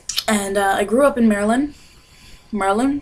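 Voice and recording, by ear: A woman talks fairly quickly, her pitch varying in an ordinary way, while noticeable noise runs in the background.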